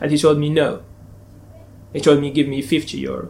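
Vocal fry runs through a man's fairly high voice as he speaks at a fairly quick pace. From Algeria. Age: 20s. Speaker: migrant telling his story. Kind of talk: personal storytelling with dialogue. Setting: community centre. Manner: animated storyteller.

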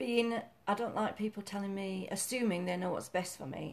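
This woman has a Yorkshire accent. She talks at a fairly quick pace. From Yorkshire, northern England. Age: 60s. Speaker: mother, retired fitness instructor. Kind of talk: casual chat, interview with daughter or son.

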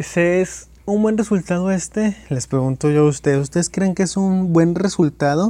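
A man's high voice with a dark, mellow tone, very even loudness and a moderate pace. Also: ordinary pitch variation. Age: 20s. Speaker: football podcast host. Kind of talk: casual football commentary monologue. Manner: halting, repeats words.

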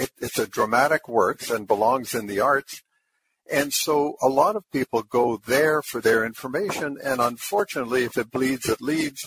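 Dry and close with no echo, this recording has a man with a Canadian accent, medium pitch and ordinary pitch variation talking at a moderate pace in an unremarkable speaking voice. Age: 60s. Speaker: blind community advocate. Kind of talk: panel discussion.

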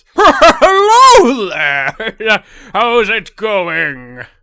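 A man's high-pitched, put-on character voice. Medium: actual play. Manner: jolly, hearty.

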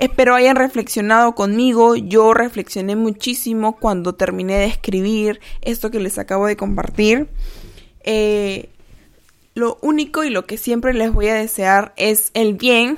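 Speaking at a fairly slow pace, a woman with a plain, everyday voice keeps her fairly high pitch on fairly even intonation. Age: 20s. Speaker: podcast host. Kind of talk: reflective monologue; reading aloud.

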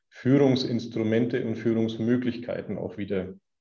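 A man's dark, mellow voice in a Middle Franconian accent, medium in pitch, with fairly even intonation at a moderate pace. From Middle Franconia, Bavaria. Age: 40s. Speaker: company founder. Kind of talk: podcast interview.

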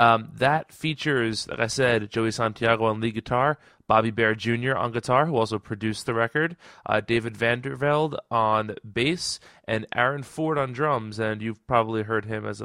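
With a bright, sharp tone and a medium pitch, a man is heard on a very clean recording with a silent background, the sound dry and close with no echo. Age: 20s. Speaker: music podcast host. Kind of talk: casual solo podcast and interview.

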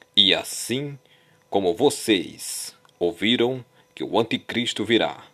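Speaking very slowly, a man uses a medium pitch with ordinary pitch variation. His tone is bright and sharp. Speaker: preacher. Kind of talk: sermon. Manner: animated; emphatic, urgent.

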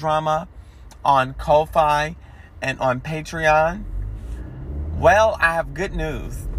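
A man speaks in an animated tone. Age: 30s. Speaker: podcast host. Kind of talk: casual podcast announcement.

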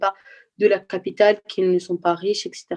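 A dark, mellow tone comes through. There is no echo, and the sound is dry and close. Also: woman. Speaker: student. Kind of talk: panel discussion.

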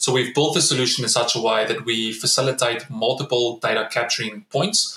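With a South African accent, a man talks at a fairly quick pace and a medium pitch with hardly any pauses, fairly even intonation and very even loudness, over noticeable background noise. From South Africa, Free State (Bloemfontein). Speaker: startup founder and CEO, former pro rugby player. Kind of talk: interview. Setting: remote call. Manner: repeats words often.

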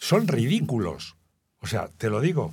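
On a very clean recording with nothing audible in the background, a man's voice comes across somewhat breathy. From Spain, Guadalajara. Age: 70s. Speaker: journalist and writer. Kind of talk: interview.

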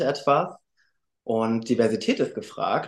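Over a quiet background, a man with a normal speaking voice talks at a medium pitch with fairly even intonation. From Germany, Frankfurt. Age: 20s. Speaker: male model and student. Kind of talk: podcast interview.

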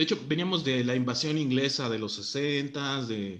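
With a Mexican accent, a man talks fairly slowly with ordinary pitch variation. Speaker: podcast host. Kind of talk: casual chat.

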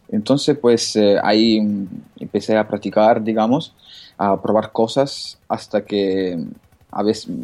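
A man speaks very slowly in a fairly low pitch, with fairly even intonation and a dark, mellow tone. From Italy. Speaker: jailbreak blogger. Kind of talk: casual interview.

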